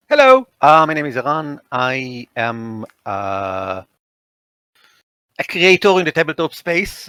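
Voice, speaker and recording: A man with an Israeli accent, a fairly high pitch and a bright, sharp tone, very wide pitch swings, a very slow pace with long, frequent pauses, and a dry, close sound with no echo. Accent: Israeli accent, clear. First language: Hebrew. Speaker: tabletop game editor and designer. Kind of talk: casual interview chat.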